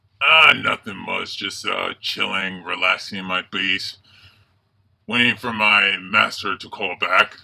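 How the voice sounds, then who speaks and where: A man puts on a cackling character voice. His pitch sits fairly low. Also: fairly slow pace. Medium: solo performance. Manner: gleeful, villainous cackling.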